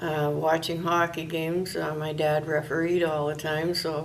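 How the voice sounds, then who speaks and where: In a northern Ontario accent, a woman speaks at a fairly slow pace with a very deep, low pitch and monotone, flat intonation. Noticeable background noise and audible room echo surround her voice. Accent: Canadian, northern Ontario. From northwestern Ontario, Canada. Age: 60s. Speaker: retired volunteer interviewee. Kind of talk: oral history interview. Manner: hesitant with many fillers.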